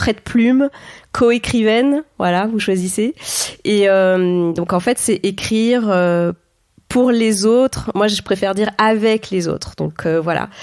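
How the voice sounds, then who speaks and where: Pitched fairly high, a woman speaks at a fairly slow pace with ordinary pitch variation. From France, Auvergne (Clermont-Ferrand). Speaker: entrepreneur and ghostwriter. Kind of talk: interview conversation. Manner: hesitant, frequent fillers.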